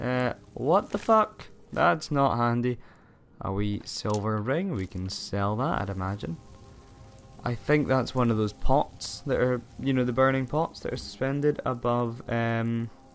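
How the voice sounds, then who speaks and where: A man with a Scottish accent talks at a fairly slow pace, with medium pitch and ordinary pitch variation. Music plays in the background. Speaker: gaming streamer. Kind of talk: live gameplay commentary. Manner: casual, halting.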